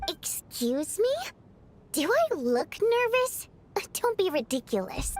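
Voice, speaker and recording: A woman puts on a character voice at an extremely high pitch, swinging it very widely. She goes fairly slowly, with long, frequent pauses. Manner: nervous, denying, indignant.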